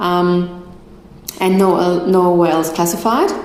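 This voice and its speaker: Audible room echo and noticeable background noise surround the recording. A woman speaks at a moderate pace. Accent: German. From Germany. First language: German. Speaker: migration agent. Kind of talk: live stream Q&A talk. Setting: live stream. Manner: halting over difficult words.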